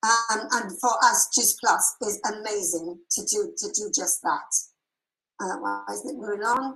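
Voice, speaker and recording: Her voice sits at a fairly high pitch. The woman speaks in an English accent. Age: 70s. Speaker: health product seller. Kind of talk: sales presentation.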